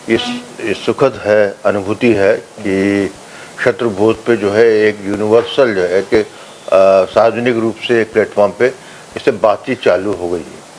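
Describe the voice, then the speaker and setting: With noticeable background noise behind him, a man speaks with fairly low pitch and fairly even intonation. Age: 60s. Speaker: political commentator. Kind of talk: interview. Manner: halting, many fillers.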